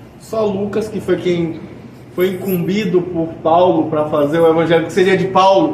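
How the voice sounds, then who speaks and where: Over noticeable background noise and audible room echo, a man speaks at a moderate pace in a high voice with fairly even intonation. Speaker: spiritist lecturer. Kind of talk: lecture. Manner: speaking softer than usual.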